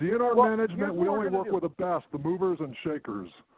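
A man's high voice at a fairly quick pace over noticeable background noise. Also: ordinary pitch variation. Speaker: caller. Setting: phone.

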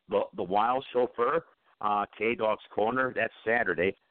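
Speaking fairly slowly with an American accent, the man uses a normal speaking voice and ordinary pitch variation. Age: 50s. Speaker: internet radio host. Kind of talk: casual talk radio. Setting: online radio call-in show.

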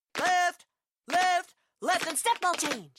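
The voice is an extremely high-pitched one. It is a put-on character voice. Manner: barking, commanding.

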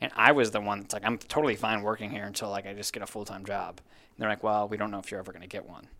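With an American accent, a man speaks at a very fast pace with hardly any pauses, his pitch fairly low, his tone bright and sharp, his intonation fairly even and his loudness swinging widely. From Minnesota. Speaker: sports team digital content manager. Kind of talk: casual interview chat.

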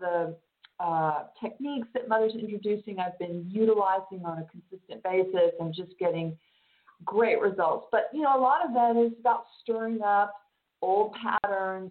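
Her pace is fairly slow, and her pitch varies in an ordinary way. The woman has a normal speaking voice at a medium pitch. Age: 50s. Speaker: spiritual channel and teacher. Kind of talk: casual chat.

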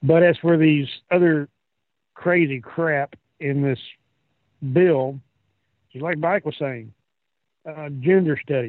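With an American accent, a man speaks very slowly at a fairly high pitch. His intonation is fairly even, broken by long, frequent pauses. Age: 50s. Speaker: regular panelist. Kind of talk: heated political rant. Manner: angry, profane, ranting.

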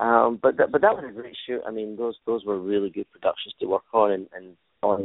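With a Glaswegian accent, a man talks at a moderate pace. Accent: Glaswegian Scottish. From Scotland, Glasgow. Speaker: stuntman and stunt choreographer. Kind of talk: interview.

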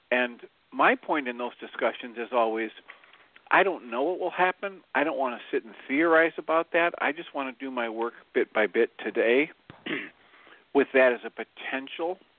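A plain, everyday voice at a moderate pace, with ordinary pitch variation and big swings in loudness. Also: man, fairly high pitch for a man. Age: 60s. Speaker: psychologist and stand-in co-host. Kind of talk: casual radio talk.

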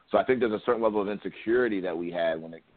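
Very fast and with fairly even intonation, a man talks in an American accent. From Ohio, US (Columbus); Nigerian descent. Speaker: rapper and former college football player. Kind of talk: interview.

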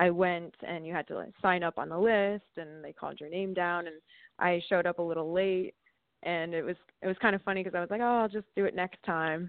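With an American accent, a plain, everyday voice talks at a fairly quick pace. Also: woman, fairly low pitch for a woman. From Sussex County, northern New Jersey. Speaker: singer and musician. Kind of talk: casual interview.

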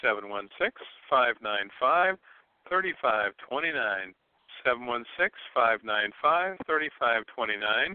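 Very wide pitch swings run through this fairly slow delivery with an American accent. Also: man. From Ohio. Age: 60s. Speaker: psychic medium. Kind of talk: psychic reading on call-in radio.

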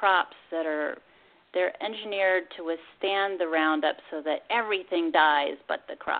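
Here is a normal speaking voice. It moves at a moderate pace. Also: woman. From Pennsylvania. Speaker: master gardener and food activist. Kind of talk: radio interview.

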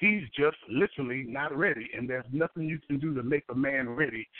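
With an American accent, a man speaks at a fairly quick pace in an ordinary speaking voice. His pitch is fairly high, with ordinary pitch variation. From New York City (Harlem). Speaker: pastor and author. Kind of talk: radio interview.

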